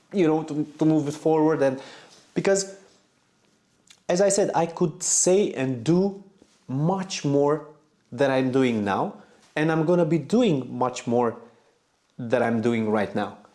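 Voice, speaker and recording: A man with a non-native accent talks at a fairly slow pace, leaving long, frequent pauses. His fairly high voice has a dark, mellow tone, lively intonation and very even loudness. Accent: non-native English speaker. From Romania. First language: Romanian. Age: 40s. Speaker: motorcycle vlogger. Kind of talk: personal vlog monologue. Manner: halting, repeats words.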